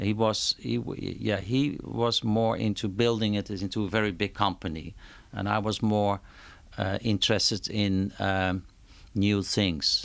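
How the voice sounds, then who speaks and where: A man with a Dutch accent speaks at a fairly slow pace in a fairly low voice, his intonation fairly even. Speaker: concert promoter. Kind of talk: interview. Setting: at his home. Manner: halting, many repetitions and fillers.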